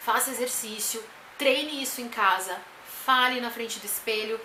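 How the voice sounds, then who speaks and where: Loud and high-pitched, a woman's voice comes with audible room echo and noticeable background noise. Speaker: vlogger and teacher. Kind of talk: tutorial.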